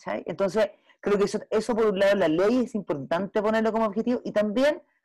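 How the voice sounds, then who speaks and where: A woman's fairly high voice in a Chilean accent, at a fairly quick pace with ordinary pitch variation. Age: 40s. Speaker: film director. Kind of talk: panel discussion.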